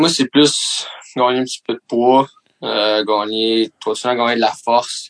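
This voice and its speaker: A man with a plain, everyday voice talks fairly slowly at a medium pitch, keeping his intonation fairly even. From Quebec, Mercier. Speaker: professional hockey player. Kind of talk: casual chat.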